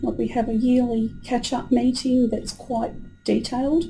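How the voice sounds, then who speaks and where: In an Australian accent, a woman speaks at a high pitch with monotone, flat intonation. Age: 60s. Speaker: retired teacher, client. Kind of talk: testimonial interview. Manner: hesitant with fillers.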